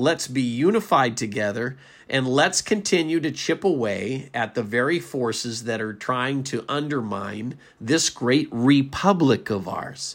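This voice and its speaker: A plain, everyday voice comes through on a very clean recording with a silent background. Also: man, medium pitch for a man, lively intonation, fairly slow pace. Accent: American. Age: 50s. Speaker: political podcast host. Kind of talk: political commentary monologue.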